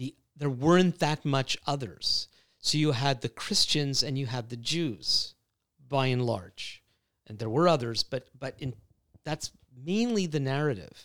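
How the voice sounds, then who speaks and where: A plain, everyday voice from a man, fairly high in pitch with lively intonation and a fairly slow pace, in a dry, close sound with no echo. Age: 60s. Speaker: speaker and writer on faith. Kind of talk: podcast interview, personal testimony. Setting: in person in Ottawa.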